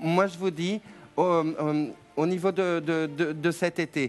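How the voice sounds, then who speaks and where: A high-pitched male voice at a fairly slow pace with fairly even intonation and music in the background. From France. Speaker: TV psychic. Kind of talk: live call-in psychic reading. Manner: hesitant, many repetitions.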